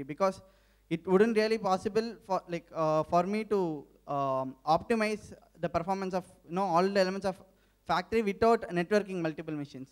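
A man talks at a fairly quick pace in a high pitch. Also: quiet background. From India. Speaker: research scholar. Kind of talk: audience question; audience question at Q&A. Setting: stage with audience. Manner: halting. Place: hall. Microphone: handheld.

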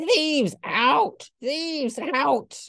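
A put-on character voice cackles at a high pitch. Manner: cackling.

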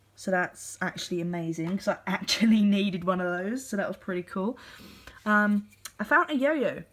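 This woman talks at a fairly quick pace, her medium pitch showing ordinary pitch variation. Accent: British. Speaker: YouTuber. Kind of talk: casual vlog show-and-tell. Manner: casual with many fillers.

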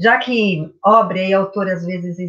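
Against a quiet background, a woman speaks in a bright, sharp tone with ordinary pitch variation. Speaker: literature teacher. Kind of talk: lecture. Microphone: webcam.

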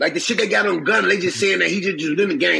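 A raised, projected voice over light background noise. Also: man. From Chicago. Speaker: former federal prisoner; interview guest. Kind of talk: casual interview storytelling. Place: home room. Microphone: phone near.

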